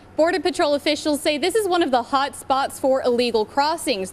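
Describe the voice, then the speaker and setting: A woman speaks high in pitch while noticeable background noise fills the recording. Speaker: TV news reporter. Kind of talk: TV news report.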